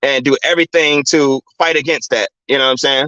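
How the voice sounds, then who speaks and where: The speaker has an American accent and fairly even intonation. The pace is moderate. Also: man. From US Midwest, Chicago. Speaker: livestream commentator. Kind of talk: livestream talk, answering chat. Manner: halting, many fillers and repeats.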